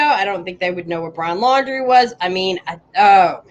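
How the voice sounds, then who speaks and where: A woman talks at a moderate pace with lively intonation. It is an unremarkable speaking voice. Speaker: YouTuber covering missing persons cases. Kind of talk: casual commentary.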